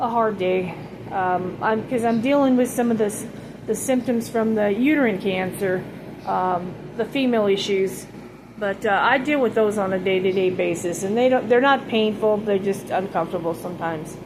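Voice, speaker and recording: The speech moves at a moderate pace with ordinary pitch variation. Audible room echo and noticeable background noise are present. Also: woman, medium pitch for a woman. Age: 60s. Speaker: vlogger sharing cancer journey. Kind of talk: casual personal vlog. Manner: halting, many fillers.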